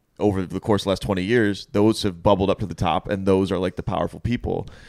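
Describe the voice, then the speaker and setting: A man with a fairly low pitch and vocal fry talks at a fairly quick pace. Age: 30s. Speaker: comedy podcast host. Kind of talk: casual chat. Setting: home living room.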